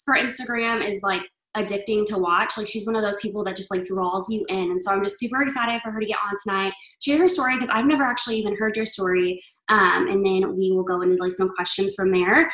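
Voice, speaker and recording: Over noticeable background noise, a woman talks at a very fast pace. Her pitch is medium, with ordinary pitch variation. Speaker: video call host. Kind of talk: casual chat. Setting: video call. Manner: animated.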